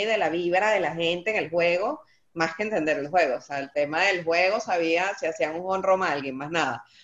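A woman's plain, everyday voice at medium pitch, with ordinary pitch variation and a moderate pace. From Venezuela (Maracay). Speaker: accountant. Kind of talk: casual chat.

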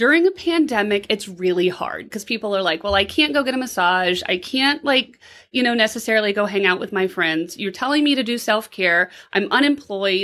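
A woman talks at a fairly quick pace and medium pitch with lively intonation. Her tone is bright and sharp, in a very clean recording with a silent background. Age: 40s. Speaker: podcast co-host on therapy. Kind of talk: casual chat.

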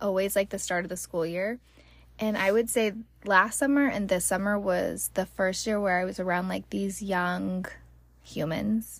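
A woman talks in an ordinary speaking voice at a medium pitch and moderate pace, with ordinary pitch variation. The recording is very clean, with a silent background. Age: 30s. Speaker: podcast host and hairstylist. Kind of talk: casual chat. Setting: recorded in a closet at home.

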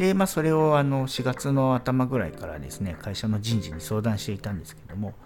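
Talking at a fairly quick pace with hardly any pauses, a man at medium pitch makes very wide pitch swings and big shifts in loudness. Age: 40s. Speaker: podcast host, expat office worker. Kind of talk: solo podcast monologue. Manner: hesitant, many fillers.

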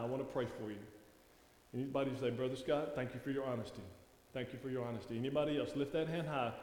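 A man in a Louisiana accent speaks at a medium pitch with fairly even intonation. Audible room echo surrounds his voice. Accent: Southern US (Louisiana) drawl. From Louisiana, US South. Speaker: guest preacher. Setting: church sanctuary with congregation. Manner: warm, conversational folksy delivery with laughs.

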